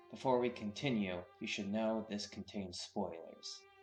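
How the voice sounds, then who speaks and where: Music in the background behind talking at a moderate speed. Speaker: tabletop RPG content creator. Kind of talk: atmospheric intro narration.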